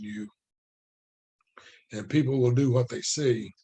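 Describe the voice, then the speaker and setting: Somewhat breathy and dark, mellow in tone, a man talks at a moderate pace with a medium pitch. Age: 60s. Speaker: book study teacher, network marketer. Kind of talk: casual lecture. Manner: repetitive, restarting phrases.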